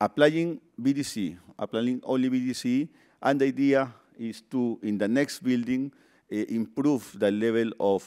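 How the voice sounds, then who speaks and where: A dark, mellow tone in a Peruvian accent, at a fairly slow pace with ordinary pitch variation, on a very clean recording with a silent background. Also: man. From Peru, Lima. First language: Spanish. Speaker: construction project manager. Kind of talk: conference presentation. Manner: halting, many fillers.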